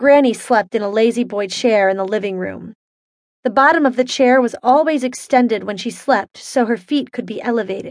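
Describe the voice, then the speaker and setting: A woman with an ordinary speaking voice, fairly high pitch, ordinary pitch variation and moderate pace. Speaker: audiobook narrator. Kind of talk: ghost story telling, spooky and playful first-person horror-comedy narration.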